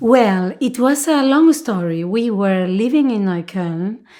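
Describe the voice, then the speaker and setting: A woman with a Spanish accent and a dark, mellow tone, very slow, with very wide pitch swings, in a very clean recording with a silent background. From Argentina, Buenos Aires. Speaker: dancer. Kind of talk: interview. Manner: halting.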